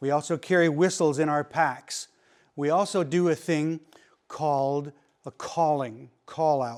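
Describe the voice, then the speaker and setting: A man's fairly high voice at a fairly slow pace, with ordinary pitch variation, in a very clean recording over a silent background. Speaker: search and rescue instructor. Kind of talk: lecture. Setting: classroom. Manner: loud.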